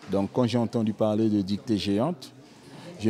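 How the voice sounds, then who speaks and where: A man's fairly low voice, dark and mellow in tone, at a fairly slow pace. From French Guiana, Boni (Aluku) community. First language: Aluku (Bushinengue language) (speaking French). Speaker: dictation participant. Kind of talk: interview.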